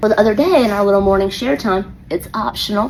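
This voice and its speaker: A woman's animated, medium-pitched voice with an American accent, at a very fast pace over noticeable background noise. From US South, Atlanta. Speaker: elementary school teacher. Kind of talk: casual storytelling monologue.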